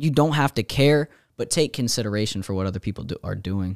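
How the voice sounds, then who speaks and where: An unremarkable speaking voice from a man at medium pitch, fairly quick pace and lively intonation, in a very clean recording with a silent background and a dry, close sound with no echo. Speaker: podcast co-host. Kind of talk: casual chat.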